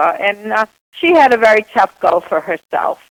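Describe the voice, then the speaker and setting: A woman's fairly high voice in a slight Boston accent, at a moderate pace, with a dry, close sound and no echo. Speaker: author. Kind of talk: interview.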